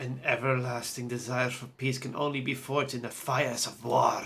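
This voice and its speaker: A man uses a raspy, put-on character voice of medium pitch. His delivery is moderate in pace with monotone, flat intonation. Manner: ominous.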